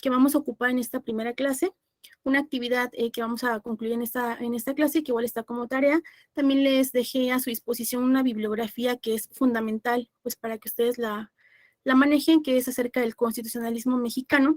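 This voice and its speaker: The speaker is a woman with a high pitch. Her intonation is monotone and flat. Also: fairly quick pace, dry, close sound with no echo. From Mexico, Puebla. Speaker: law lecturer. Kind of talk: online class lecture. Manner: fast.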